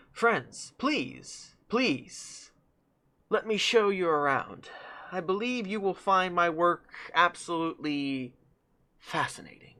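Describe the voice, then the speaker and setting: A quiet, nasal put-on character voice at middle pitch, fairly slow, with long, frequent pauses. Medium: actual play. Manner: ingratiating, polite.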